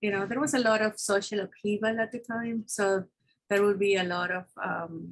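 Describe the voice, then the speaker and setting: A woman with a Spanish accent talks at medium pitch, somewhat breathy. Her intonation stays fairly even. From Peru. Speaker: scientist. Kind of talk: interview. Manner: hesitant, many fillers.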